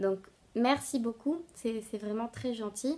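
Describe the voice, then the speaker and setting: A woman with a fairly high pitch speaks in a dark, mellow tone and ordinary pitch variation. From Bolivia (La Paz). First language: Spanish (speaking French). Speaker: knitting podcaster. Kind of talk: casual vlog talk to viewers. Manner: halting, many hesitations.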